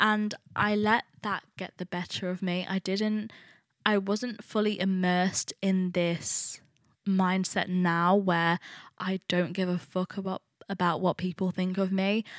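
The speaker uses a monotone, flat intonation with an East Midlands accent. The sound is dry and close with no echo, on a very clean recording with a silent background. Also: woman. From England, Nottingham. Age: 20s. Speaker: podcast host, university student. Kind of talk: solo casual monologue. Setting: recording at home alone.

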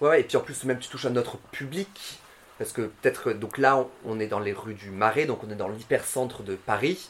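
His loudness swings widely. The man keeps a moderate pace. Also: medium pitch for a man, ordinary pitch variation. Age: 30s. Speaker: drag queen. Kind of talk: casual chat. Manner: halting, many fillers.

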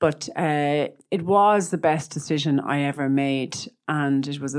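In an Irish accent, a woman with a very deep, low pitch talks at a moderate pace with ordinary pitch variation on a very clean recording with a silent background. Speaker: image consultant and personal stylist. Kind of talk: casual interview chat.

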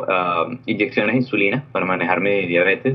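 Male speaker with ordinary pitch variation. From Venezuela. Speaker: diabetes nonprofit president. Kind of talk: interview. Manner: halting, with fillers and repetitions.

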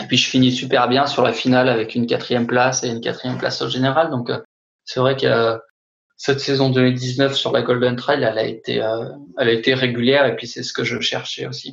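With a monotone, flat intonation, a man speaks at a medium pitch. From France, Haute-Savoie. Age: 30s. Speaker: trail runner. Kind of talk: interview. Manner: halting.

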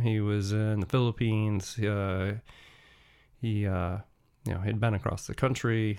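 In a very clean recording with a silent background, a man of fairly low pitch speaks in a monotone, flat intonation. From United States. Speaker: podcast host. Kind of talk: solo podcast monologue. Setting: home studio. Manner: casual, frequent hesitations.

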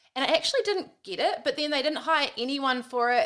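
A woman with a New Zealand accent talks at a fairly quick pace with lively intonation. Her tone is bright and sharp, in a very clean recording with a silent background. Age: 30s. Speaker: podcast host, former radio presenter. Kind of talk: casual chat.

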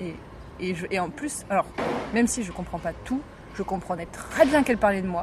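Over noticeable background noise, a woman talks very fast at a medium pitch with lively intonation. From Morocco. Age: young. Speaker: podcast host. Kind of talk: casual chat. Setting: outdoors, hotel terrace.

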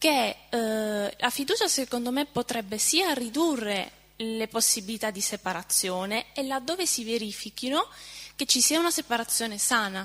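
Here a woman speaks at a moderate pace. Her pitch is fairly high and her intonation lively. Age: 20s. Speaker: seminar participant. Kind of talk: audience question. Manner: halting.

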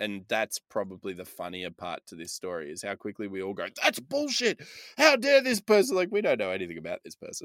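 A man talks at a fairly quick pace with big swings in loudness, in a very clean recording with a silent background and a dry, close sound with no echo. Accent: Australian. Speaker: podcast host. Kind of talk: casual chat.

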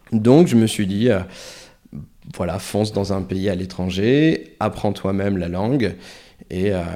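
Very slowly, a man speaks with a very deep, low pitch, a dark, mellow tone and ordinary pitch variation. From northern France (Nord-Pas-de-Calais), Portuguese family. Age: 30s. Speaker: long-term traveller. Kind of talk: interview. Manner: halting, many hesitations and repetitions.

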